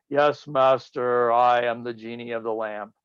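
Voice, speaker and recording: Loud and booming, a man of medium pitch uses a put-on character voice in a flat monotone at a moderate pace. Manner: loud, booming.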